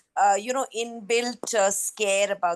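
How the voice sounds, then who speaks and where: The sound is dry and close, with no echo. A woman talks at a moderate pace. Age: 60s. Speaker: audience member asking a question. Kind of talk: question at online forum. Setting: video call, camera off. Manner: hesitant, many fillers.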